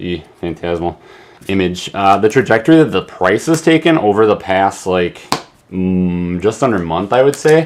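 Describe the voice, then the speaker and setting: Against noticeable background noise, a man with a fairly low pitch makes very wide pitch swings. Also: moderate pace. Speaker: card game YouTuber. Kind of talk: casual box-opening commentary. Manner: animated.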